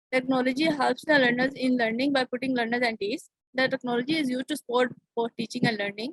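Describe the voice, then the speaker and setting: Speaking with a Pakistani accent, a woman talks at a fairly quick pace in a high pitch. Her intonation stays fairly even, and the sound is dry and close with no echo. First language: Urdu. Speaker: conference presenter. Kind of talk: academic presentation. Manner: halting.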